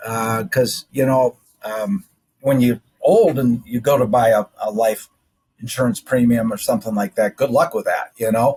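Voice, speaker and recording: The voice is somewhat breathy, with ordinary pitch variation. The sound is dry and close, with no echo. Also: man, medium pitch for a man, moderate pace. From South Dakota. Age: 60s. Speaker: general surgeon. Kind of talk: interview.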